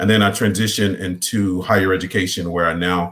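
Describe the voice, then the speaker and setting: A Southern US accent at a fairly quick pace. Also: man. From Mississippi. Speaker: college administrator and former voiceover artist. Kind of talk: panel discussion.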